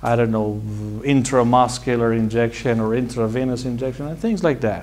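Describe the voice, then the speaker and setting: A man speaks with an Iranian accent. His pace is moderate. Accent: Iranian (Persian). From Iran, Tehran. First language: Persian. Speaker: medical doctor and college founder. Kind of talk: personal talk to an audience.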